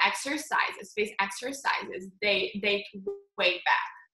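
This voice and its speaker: With music in the background, a woman in a Slovenian accent speaks at a fairly slow pace in a fairly high voice with ordinary pitch variation. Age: 20s. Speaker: face yoga instructor and founder. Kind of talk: casual interview.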